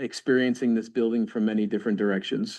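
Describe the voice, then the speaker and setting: This man's voice sits at a medium pitch and runs in a monotone, flat line. The background is quiet. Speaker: architect presenting a project. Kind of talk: project presentation at public meeting. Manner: fast.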